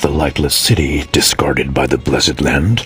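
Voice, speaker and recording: A man puts on a character voice with a very deep, low pitch at a moderate pace. Clear background noise can be heard. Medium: machinima. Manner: blunt, grim.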